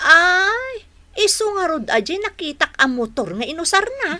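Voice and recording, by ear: A woman's put-on character voice, extremely high in pitch with big pitch swings and a bright, sharp tone. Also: fairly slow pace.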